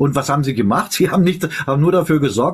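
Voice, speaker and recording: A man talks at a very fast pace. His fairly high voice has vocal fry. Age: 50s. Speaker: live stream host. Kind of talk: casual chat. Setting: live stream.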